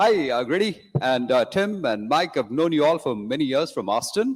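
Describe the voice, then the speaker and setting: On a very clean recording with a silent background, a man speaks at a fairly quick pace with very wide pitch swings. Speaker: conference audience member asking a question. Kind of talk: Q&A question. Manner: fast. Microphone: big echo.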